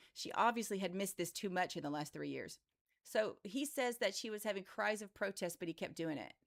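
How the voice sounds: Against a quiet background, a natural reading voice is heard.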